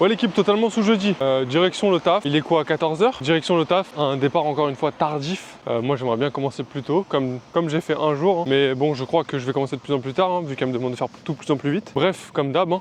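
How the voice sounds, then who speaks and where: Amid noticeable background noise, a man with a French accent and a fairly high voice speaks very fast with hardly any pauses and ordinary pitch variation. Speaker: vlogger, cook. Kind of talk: casual vlog. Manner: casual, hesitant with fillers.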